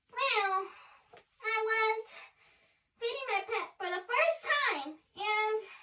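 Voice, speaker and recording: An extremely high, squeaky, put-on character voice at a very slow pace, with long, frequent pauses. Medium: short film. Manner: sheepish, rambling.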